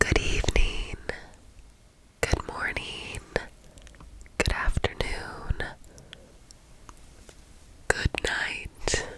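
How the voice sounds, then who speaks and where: Someone whispers at a very slow pace, with long, frequent pauses over noticeable background noise. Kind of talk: ASMR story reading with casual commentary. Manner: soft-spoken, quiet.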